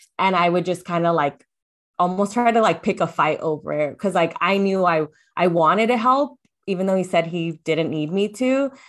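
A woman talks in a normal speaking voice at medium pitch, with ordinary pitch variation. Her pace is moderate, and the background is quiet. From US, child of Latin American immigrants. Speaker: confidence coach and podcast guest. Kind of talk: casual interview chat.

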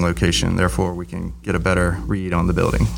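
A man with a very deep, low pitch at a very fast pace over noticeable background noise. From US South, Virginia Beach. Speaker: university safety manager. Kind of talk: interview.

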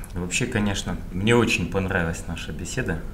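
A man speaks at a moderate pace with very wide pitch swings. There is audible room echo along with noticeable background noise. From Kazakhstan, Karaganda. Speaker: podcast host. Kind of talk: interview.

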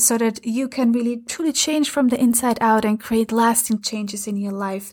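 In an Austrian accent, a woman speaks in an animated tone at a high pitch. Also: very clean recording, silent background. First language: German. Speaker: transformation coach and podcast host. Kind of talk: scripted-style podcast intro and solo talk. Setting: home recording during London lockdown. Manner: animated, talks with hands and facial expressions.

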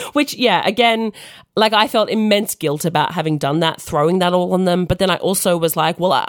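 A woman speaks with an Australian accent at a fairly quick pace. Her pitch variation is ordinary. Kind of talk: casual chat.

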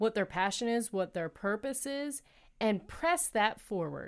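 Against a silent background in a very clean recording, a woman talks in an animated tone with lively intonation at a fairly high pitch. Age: 30s. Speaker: podcast host. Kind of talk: solo monologue.

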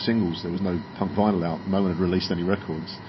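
A man's very deep, low voice at a very fast pace, monotone and flat, with audible room echo. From England, west of London. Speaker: podcast interviewer. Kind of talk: casual interview.

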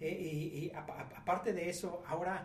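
A man with a high pitch speaks amid audible room echo and noticeable background noise. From Mexico. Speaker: businessman. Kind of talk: casual chat. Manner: halting.

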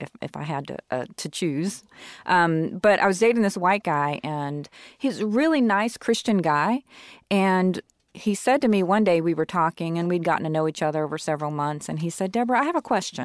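A woman's normal speaking voice with an American accent, fairly low in pitch, with lively intonation and a fairly quick pace, in a very clean recording with a silent background and a dry, close sound with no echo. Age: 40s. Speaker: biracial woman sharing her experience. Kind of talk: casual interview.

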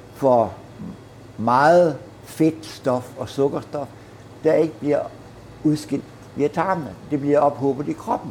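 A man talks very slowly with a Jutland accent. His pitch sits fairly high. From Herning, Midtjylland, Denmark. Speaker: baker. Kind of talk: casual chat. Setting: bakery.

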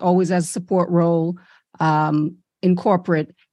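Against a quiet background, a woman with a fairly low voice speaks at a fairly slow pace in an ordinary speaking voice. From Brooklyn, New York (born in Saint Lucia). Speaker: business coach. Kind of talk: interview.

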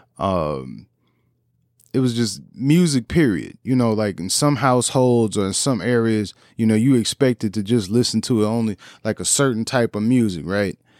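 A man with an American accent speaks in a normal speaking voice at a moderate pace, his pitch fairly low with ordinary variation. The sound is dry and close with no echo, a very clean recording over a silent background. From US Midwest, St. Louis. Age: 30s. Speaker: podcast host and musician. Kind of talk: casual chat.

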